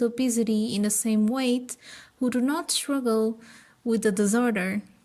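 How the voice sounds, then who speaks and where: Speaking at a moderate pace, a woman with a Portuguese accent has a fairly high pitch. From Portugal. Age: 20s. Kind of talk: informative talk to camera.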